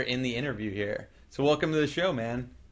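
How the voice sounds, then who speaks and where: A man's voice with ordinary pitch variation. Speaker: podcast host. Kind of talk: interview. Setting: video recording on camera. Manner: energetic.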